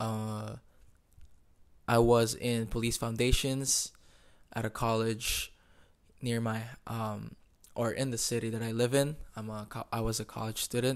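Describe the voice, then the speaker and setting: A man speaks fairly slowly at a medium pitch with flat, monotone intonation and long, frequent pauses. The recording is very clean, with a silent background. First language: not English. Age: 20s. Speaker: podcast host and barber. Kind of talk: casual monologue. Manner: halting.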